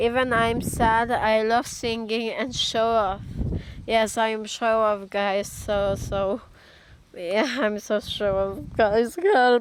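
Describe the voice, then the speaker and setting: At a very slow pace, a woman talks with fairly even intonation. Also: fairly high pitch for a woman. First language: Polish. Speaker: amateur singer vlogger. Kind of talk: casual vlog chat. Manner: halting, many fillers.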